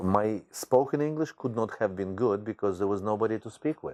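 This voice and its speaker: Speaking at a moderate pace with a strong Ukrainian accent, a man uses a fairly low, dark, mellow voice with ordinary pitch variation. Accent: thick Ukrainian. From Ukraine, Khmelnytsky. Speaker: teacher. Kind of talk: interview.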